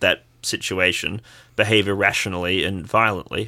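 In an Australian accent, a man speaks at a moderate pace with a fairly low pitch. His tone is bright and sharp, and the recording is very clean with a silent background. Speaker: podcast co-host. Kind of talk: casual political discussion.

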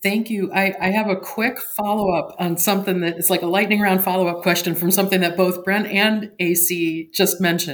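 A woman with an unremarkable speaking voice talks at a moderate pace, her medium pitch held in fairly even intonation. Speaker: cybersecurity consultant, caller. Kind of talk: call-in question.

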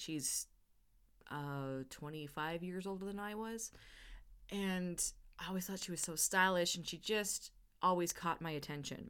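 In a very clean recording with a silent background, a woman with a fairly low pitch speaks at a fairly slow pace, with ordinary pitch variation and long, frequent pauses. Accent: Canadian. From northern Alberta, Canada. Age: 40s. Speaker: podcast host. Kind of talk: solo podcast monologue. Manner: unscripted, conversational.

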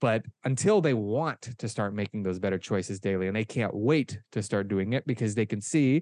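In a dry, close sound with no echo, a man with a Midwestern US accent speaks with ordinary pitch variation. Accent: General American (Midwestern). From US Midwest, Omaha, Nebraska. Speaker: kettlebell instructor. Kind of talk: interview. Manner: casual.

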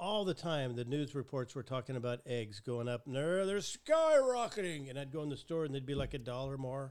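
This is a man with a normal speaking voice and a fairly high pitch. He speaks at a fairly quick pace with hardly any pauses and ordinary pitch variation. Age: 60s. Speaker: podcast host. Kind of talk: casual chat. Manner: chatty, joking.

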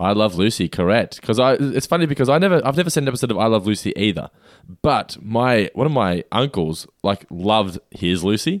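A plain, everyday voice from a man at medium pitch, moving at a fairly quick pace. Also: lively intonation. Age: 30s. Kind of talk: casual chat.

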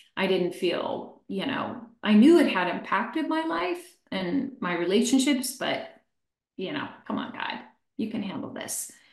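In a room with audible echo, a woman with an American accent speaks fairly slowly at a fairly high pitch, her voice making very wide pitch swings. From Pennsylvania, US. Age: 60s. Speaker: life coach and educator. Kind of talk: testimony.

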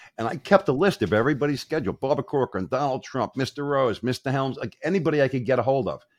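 A man with an American accent speaks at a medium pitch with vocal fry and a very fast pace. The sound is dry and close with no echo, over a quiet background. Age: 60s. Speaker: motivational speaker and online marketer. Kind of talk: interview.

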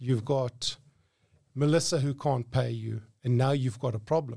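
Somewhat breathy and with a dark, mellow tone, a man speaks at a medium pitch on a very clean recording with a silent background. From South Africa, Johannesburg. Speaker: lawyer and business owner. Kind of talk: interview. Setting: studio.

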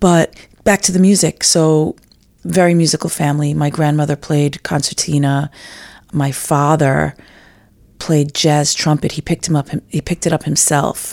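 Speaking in an American accent at a moderate pace, a woman with a very deep, low pitch keeps her intonation fairly even, the sound dry and close with no echo. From New York City, Manhattan. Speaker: fiddler and composer. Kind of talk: interview.

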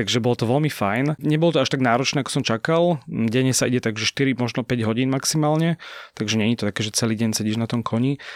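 In a very clean recording with a silent background and a dry, close sound with no echo, a man speaks very fast at a medium pitch with ordinary pitch variation. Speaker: journalist. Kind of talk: casual chat. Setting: studio.

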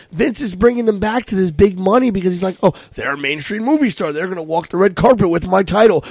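Lively intonation from a man amid noticeable background noise. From Puerto Rican heritage, US. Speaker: wrestling commentator and podcast co-host. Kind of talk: casual chat. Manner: animated.

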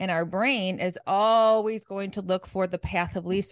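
A woman speaks in a plain, everyday voice at a medium pitch. The sound is dry and close with no echo, over a quiet background. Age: 50s. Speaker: nutrition and mindset coach. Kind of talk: podcast interview.

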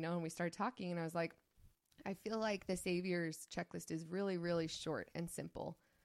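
Using fairly even intonation, a woman with a Utah accent talks at a moderate pace and a fairly low pitch. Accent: general American, Utah. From Saint George, Utah. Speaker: YouTube creator, co-host. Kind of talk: casual interview.

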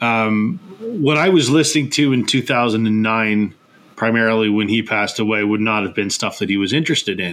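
In a plain, everyday voice, a man speaks at a moderate pace with a medium pitch and ordinary pitch variation. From Canada. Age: 40s. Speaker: podcast host. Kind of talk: casual chat.

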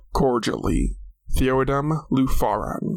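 Putting on a character voice, a man talks at a medium pitch and a fairly slow pace. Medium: audio drama. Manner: formal.

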